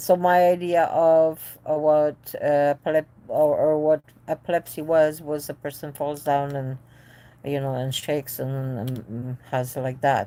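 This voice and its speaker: A woman speaks at a very deep, low pitch with a dark, mellow tone. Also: fairly even intonation, fairly slow pace. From Poland. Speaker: epilepsy support channel host, parent. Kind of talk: live stream support talk, reading viewer comments. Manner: hesitant, many fillers.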